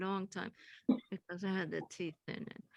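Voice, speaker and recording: With a Swedish accent, a woman speaks at a moderate pace in a dry, close sound with no echo. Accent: Swedish accent, kept after thirty years. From Sweden. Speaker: poet. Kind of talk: panel discussion.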